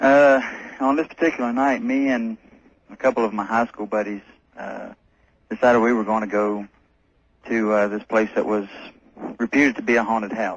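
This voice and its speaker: At a fairly quick pace but with long, frequent pauses, a man speaks in a medium pitch with fairly even intonation and a slight North Carolina accent. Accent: slight North Carolina Southern. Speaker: caller. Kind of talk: telling a personal story on a call-in radio show. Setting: phone call to a radio show. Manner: halting, many filler sounds.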